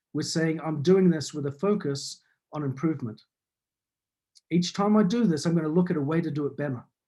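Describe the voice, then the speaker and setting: The speaker's dark, mellow tone moves at a fairly quick pace with ordinary pitch variation and long, frequent pauses. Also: man, fairly high pitch for a man. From New Zealand. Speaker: business consultant and author. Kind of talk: talk. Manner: clear, articulate.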